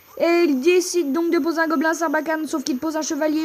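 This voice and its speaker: A woman talks at a fairly quick pace with noticeable background noise. Her voice is extremely high. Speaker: gaming YouTuber. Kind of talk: live gameplay commentary. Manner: fast; animated.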